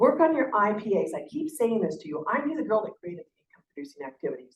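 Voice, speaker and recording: The speaker talks at a very fast pace, somewhat breathy, with very wide pitch swings. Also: woman. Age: 60s. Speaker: sales director. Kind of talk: motivational talk. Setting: stage with audience. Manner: animated.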